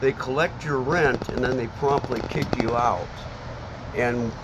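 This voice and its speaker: With an American accent, a man talks at a moderate pace in a medium pitch with ordinary pitch variation. Noticeable background noise and audible room echo fill the recording. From Seattle area, Washington. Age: 60s. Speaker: homeless man interviewed on the street. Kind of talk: street interview. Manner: halting, many fillers and restarts.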